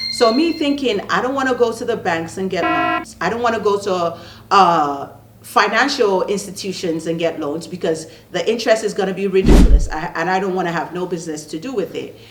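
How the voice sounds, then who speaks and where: A woman speaks in an animated tone. Noticeable background noise and audible room echo fill the recording. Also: medium pitch for a woman, lively intonation, fairly quick pace. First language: not English. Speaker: online business coach and channel host. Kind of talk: casual talk to camera.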